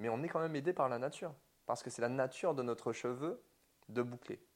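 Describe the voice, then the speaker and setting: At a fairly quick pace, a man delivers his lines in a medium pitch. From Martinique. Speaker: hairdresser and business owner. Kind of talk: interview.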